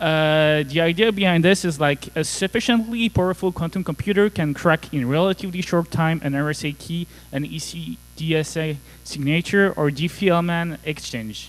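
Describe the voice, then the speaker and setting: Speaking in a French accent, a man uses a high pitch and ordinary pitch variation at a moderate pace. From France. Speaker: conference speaker, cybersecurity engineer. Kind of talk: conference talk.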